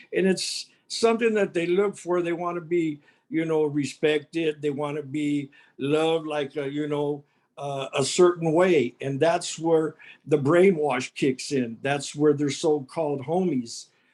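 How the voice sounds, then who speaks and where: The recording is very clean, with a silent background. A man speaks at a fairly slow pace in a normal speaking voice. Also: fairly high pitch for a man, ordinary pitch variation. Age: 60s. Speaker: gang intervention mentor. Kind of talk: panel talk at public meeting.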